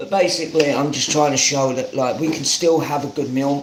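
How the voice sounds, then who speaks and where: A man talks with fairly even intonation over noticeable background noise and audible room echo. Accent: southern English. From London, Hackney. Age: 30s. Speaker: home cook streamer. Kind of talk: live cooking stream chat. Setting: live stream.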